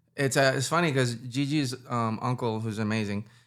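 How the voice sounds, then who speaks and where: A man with a slight Puerto Rican accent talks at a fairly quick pace in a bright, sharp tone and a medium pitch, recorded very cleanly against a silent background. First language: Spanish. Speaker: musician. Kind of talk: casual interview. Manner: animated.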